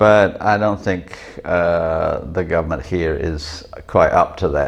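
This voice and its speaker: A man's very deep, low voice at a very slow pace with fairly even intonation, over noticeable background noise. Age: 60s. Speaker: vlogger. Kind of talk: casual monologue; cooking tutorial. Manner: hesitant, many fillers.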